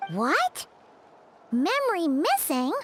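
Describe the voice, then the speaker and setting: A squeaky, put-on character voice at an extremely high pitch, swinging very widely up and down. Faint music plays in the background. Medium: game stream. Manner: excitable, high-energy.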